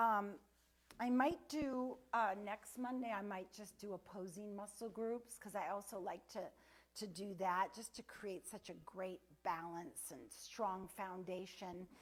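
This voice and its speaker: A woman speaks at a fairly slow pace and medium pitch with ordinary pitch variation. It is an unremarkable speaking voice. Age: 60s. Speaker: fitness instructor. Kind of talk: sales pitch; fitness class.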